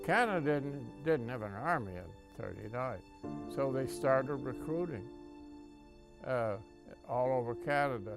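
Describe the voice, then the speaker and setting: Over music in the background, a man speaks at a fairly slow pace with lively intonation and long, frequent pauses. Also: medium pitch for a man. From New Brunswick, Canada. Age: 80s+. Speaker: war veteran. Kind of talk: interview answer.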